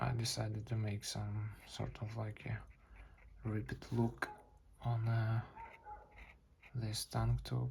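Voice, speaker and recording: Mumbling at a very slow pace, a man leaves long, frequent pauses amid noticeable background noise. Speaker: artist. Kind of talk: casual drawing session chat. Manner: halting, with many fillers.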